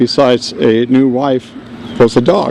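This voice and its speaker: A man speaks at medium pitch with a New York accent. Noticeable background noise is present. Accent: New York (Bronx). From New York, South Bronx. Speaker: navy veteran, speaker at a dedication. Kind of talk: dedication speech.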